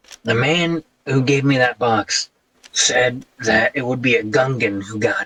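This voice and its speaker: A man puts on a character voice that is raspy and medium in pitch. He talks at a moderate pace. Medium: actual play. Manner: rambling, hesitant.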